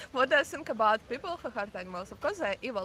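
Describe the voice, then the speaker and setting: A woman speaks in a Ukrainian accent. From Ukraine, Kyiv. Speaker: passerby interviewee. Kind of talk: street conversation. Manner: halting.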